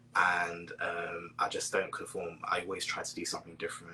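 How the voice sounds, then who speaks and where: A man talks with a British accent. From Britain. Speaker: spiritual counselor and poet. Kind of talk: casual interview chat. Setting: online live stream.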